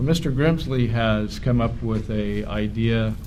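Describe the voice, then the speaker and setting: A man with a West Coast accent, audible room echo around his voice. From California. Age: 60s. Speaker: conspiracy talk host. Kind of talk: event talk introduction. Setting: hotel event stage. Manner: halting.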